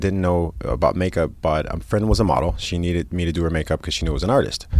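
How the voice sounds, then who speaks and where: Talking at a very fast pace, a man with a very deep, low pitch and vocal fry shows ordinary pitch variation. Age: 30s. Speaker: celebrity makeup artist. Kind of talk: casual chat.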